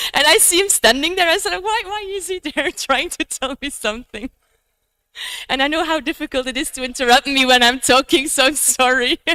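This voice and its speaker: A woman projects a raised, bright, sharp voice with lively intonation, recorded dry and close with no echo. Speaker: conference speaker. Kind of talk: lecture. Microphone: microphone was off, held far away.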